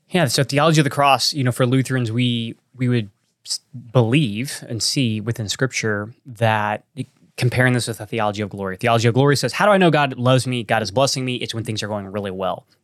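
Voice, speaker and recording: On a very clean recording with a silent background, a man talks at a very fast pace in a medium pitch with ordinary pitch variation. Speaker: co-host and church planter. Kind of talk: podcast conversation about church planting.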